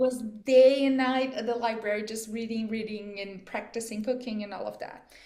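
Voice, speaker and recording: In a Portuguese accent, a woman talks at a fairly quick pace with a dark, mellow tone, fairly high pitch and big swings in loudness, with audible room echo. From Brazil, Amazon region. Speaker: chef. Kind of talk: interview. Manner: animated.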